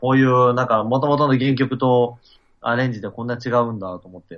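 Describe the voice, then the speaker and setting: A man talks at a fairly quick pace with a medium pitch. He has an ordinary speaking voice. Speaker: event organizer and musician. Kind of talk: interview. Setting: video call.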